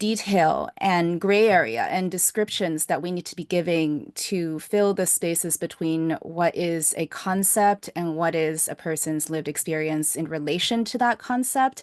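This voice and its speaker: A woman's fairly low voice, a normal speaking voice, fairly slow with hardly any pauses and ordinary pitch variation, in a dry, close sound with no echo. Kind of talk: podcast host conversation.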